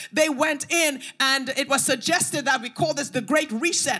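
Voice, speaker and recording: A woman's raised, projected voice with ordinary pitch variation and music in the background. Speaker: preacher. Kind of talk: sermon. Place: church. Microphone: handheld.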